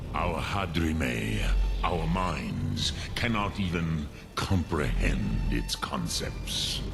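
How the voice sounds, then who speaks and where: A man performs a put-on character voice at a very slow pace over loud background noise. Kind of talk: archaic epic speech. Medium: solo performance. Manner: slow, deliberate, grave.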